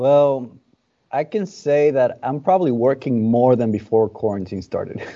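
With lively intonation and a Spanish accent, a man talks at a moderate pace. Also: medium pitch for a man. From Dominican Republic. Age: 20s. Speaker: cigar brand ambassador. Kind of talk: casual interview.

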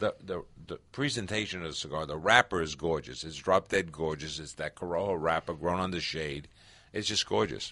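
Over a quiet background, a man with a very deep, low pitch and a bright, sharp tone speaks at a fairly quick pace with ordinary pitch variation. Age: 60s. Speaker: cigar industry executive. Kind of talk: interview. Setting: studio.

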